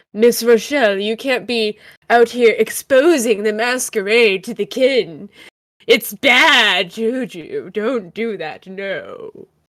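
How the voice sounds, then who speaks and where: A female-sounding voice performs a put-on character voice. It is fairly high in pitch and fairly slow in pace. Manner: impression of a character, scolding.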